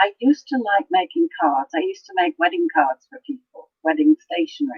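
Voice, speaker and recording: With an English accent, a woman with a high voice speaks at a fairly quick pace, her pitch swinging very widely and her loudness shifting in big swings. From Canada. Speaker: crafter, design team member. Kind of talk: interview.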